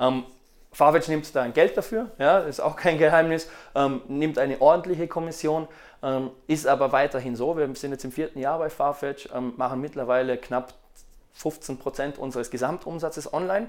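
Man at a fairly high pitch and moderate pace, with ordinary pitch variation and long, frequent pauses, in a very clean recording with a silent background. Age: 30s. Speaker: fashion retailer. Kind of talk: interview. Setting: recorded on location at an agency.

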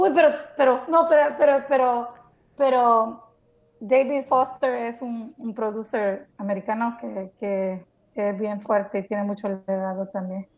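Speaking at a fairly slow pace, a woman with an unremarkable speaking voice shows ordinary pitch variation and big swings in loudness. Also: fairly high pitch for a woman. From El Salvador. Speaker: podcast co-host. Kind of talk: casual chat.

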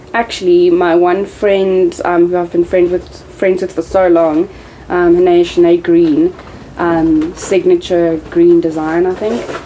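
Against noticeable background noise, a woman speaks very slowly in a flat monotone at a fairly low pitch. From South Africa, Johannesburg. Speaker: clothing brand owner. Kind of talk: casual chat.

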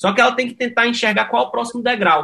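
In a raised, projected voice with a bright, sharp tone, this speaker talks at a very fast pace with lively intonation. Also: man. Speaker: tech startup CEO. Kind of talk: interview.

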